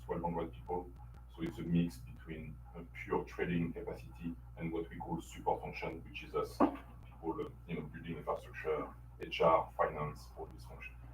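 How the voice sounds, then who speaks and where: A man with a French accent at a moderate pace, with audible room echo. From France. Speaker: company infrastructure executive. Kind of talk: business presentation. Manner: hesitant, many fillers.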